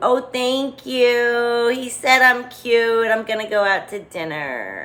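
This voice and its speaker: Fairly slow, high-pitched delivery from a woman doing a put-on character voice. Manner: swoony, lovestruck.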